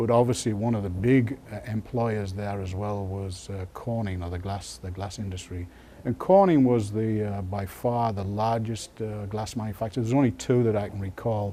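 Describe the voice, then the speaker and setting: A man with an English accent speaks at a moderate pace with hardly any pauses. His fairly low voice has a dark, mellow tone and fairly even intonation. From northeast England, Sunderland. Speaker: retired glass industry engineer. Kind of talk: oral history interview. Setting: museum library. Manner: hesitant, many fillers.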